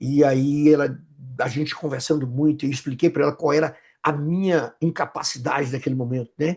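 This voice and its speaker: A man's somewhat breathy voice, fairly high in pitch, at a moderate pace with fairly even intonation. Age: 60s. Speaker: pastor and psychoanalyst. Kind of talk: interview conversation. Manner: halting, with many repetitions.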